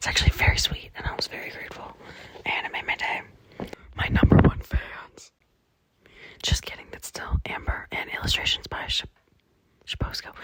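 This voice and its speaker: Whispering, a woman talks at a fairly quick pace. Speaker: vlogger. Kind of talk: casual vlog monologue. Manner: animated.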